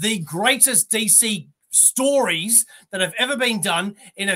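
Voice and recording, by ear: Someone reads aloud in a natural voice. The intonation is lively and the background quiet.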